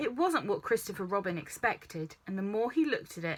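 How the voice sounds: The recording features a natural reading voice.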